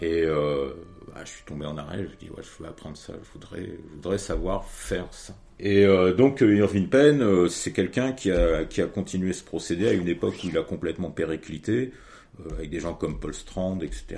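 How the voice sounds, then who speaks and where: Dark, mellow tone at a moderate pace, with lively intonation. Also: man, very deep, low pitch for a man. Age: 50s. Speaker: photo printer. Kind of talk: interview. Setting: at home workshop.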